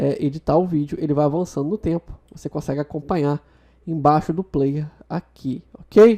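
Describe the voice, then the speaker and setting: This woman's voice sits very deep and low, with a dark, mellow tone, ordinary pitch variation, and a dry, close sound with no echo. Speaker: video tutorial host. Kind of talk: software tutorial. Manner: fast.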